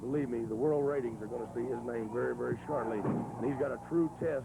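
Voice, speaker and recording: Noticeable background noise accompanies a man at medium pitch. He talks at a fairly quick pace with fairly even intonation. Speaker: professional wrestler and guest commentator. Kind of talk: TV wrestling commentary.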